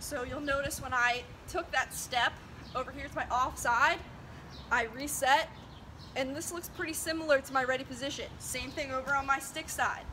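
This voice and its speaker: With noticeable background noise behind her, a woman keeps her high-pitched voice fairly even in intonation. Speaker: lacrosse goalie coach. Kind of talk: tutorial. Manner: fast.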